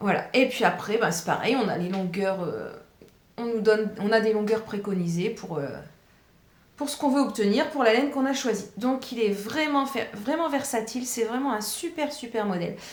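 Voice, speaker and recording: Lively intonation comes at a moderate pace, with audible room echo in the space. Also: woman, fairly high pitch for a woman. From northern France, Pas-de-Calais. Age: 40s. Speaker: knitting vlogger, primary school teacher. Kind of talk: casual chat. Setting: home kitchen. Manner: hesitant, many fillers.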